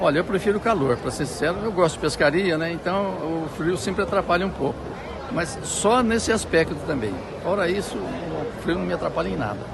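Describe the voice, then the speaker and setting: Amid noticeable background noise and audible room echo, a man with a high pitch talks at a fairly quick pace. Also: lively intonation. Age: 70s. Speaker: interviewee at street market. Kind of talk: street interview.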